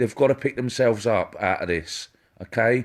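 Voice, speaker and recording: A man with an English accent, medium pitch, fairly even intonation and a moderate pace. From England. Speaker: psychic medium. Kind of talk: live-stream psychic reading. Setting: Facebook live stream.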